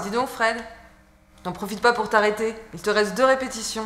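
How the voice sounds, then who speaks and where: A woman's fairly high pitch at a moderate pace over noticeable background noise. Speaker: voice actor, actress. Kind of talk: web series dialogue, scripted educational sketch. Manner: energetic, coaching tone.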